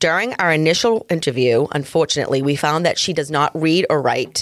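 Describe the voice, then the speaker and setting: A woman with a Massachusetts accent has a very deep, low pitch. The recording is very clean, with a silent background. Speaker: true crime podcast co-host. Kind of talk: casual chat.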